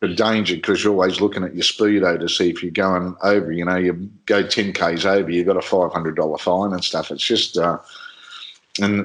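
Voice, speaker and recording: A man speaks at a fairly quick pace in a very deep, low voice. His intonation stays monotone and flat. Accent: Australian. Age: 60s. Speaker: motorsport commentator. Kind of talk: casual interview chat.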